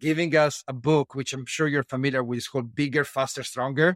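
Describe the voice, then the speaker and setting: Fairly even intonation marks this man's fairly high pitch and Italian accent. The sound is dry and close with no echo on a very clean recording with a silent background. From Italy. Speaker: strength and conditioning coach. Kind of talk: interview.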